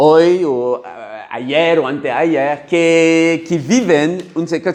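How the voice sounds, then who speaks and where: Speech comes at a very slow pace. It carries a French accent. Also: man. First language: French (speaking Spanish). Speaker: workshop facilitator. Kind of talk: workshop talk. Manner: halting.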